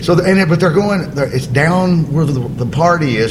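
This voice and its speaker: A man with an Alabama accent speaks with ordinary pitch variation amid noticeable background noise and audible room echo. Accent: US Southern (Alabama). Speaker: stand-up comedian. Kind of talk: casual chat.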